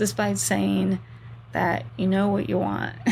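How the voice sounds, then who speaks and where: The woman's speech unfolds at a fairly slow pace. Behind it sits noticeable background noise. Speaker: book review youtuber. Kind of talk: book review monologue.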